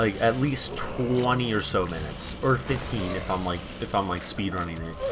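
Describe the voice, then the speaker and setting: A man's fairly low voice is heard with music in the background. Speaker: gaming youtuber. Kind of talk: gameplay commentary. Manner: casual, rambling with fillers.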